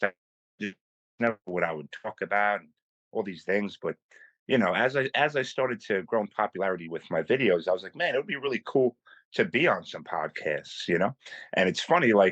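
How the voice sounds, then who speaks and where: In a New York accent, a man speaks fairly quickly at a medium pitch with very wide pitch swings. The sound is dry and close with no echo, over a quiet background. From New York City, Staten Island. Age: 30s. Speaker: content creator. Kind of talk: casual chat. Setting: phone call.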